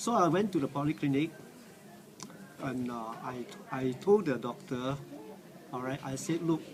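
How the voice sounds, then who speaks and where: Noticeable background noise sits behind a moderately paced voice that has lively intonation and long, frequent pauses. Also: man, fairly high pitch for a man. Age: 60s. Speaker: cancer survivor. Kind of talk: testimony. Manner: halting, many fillers.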